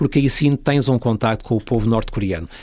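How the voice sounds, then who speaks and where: A man talks at medium pitch with ordinary pitch variation in an ordinary speaking voice. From Portugal. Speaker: travel industry worker and traveller. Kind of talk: casual interview.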